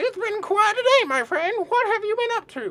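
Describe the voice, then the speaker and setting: Squeaky and extremely high in pitch, a put-on character voice moves at a moderate pace. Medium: solo performance. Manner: chuckling, mischievous.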